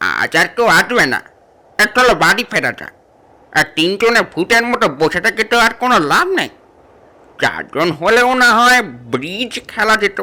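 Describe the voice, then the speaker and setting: A man puts on a character voice, high-pitched and raised, projected outward. His intonation is lively. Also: moderate pace. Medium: audio drama. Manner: brusque, teasing.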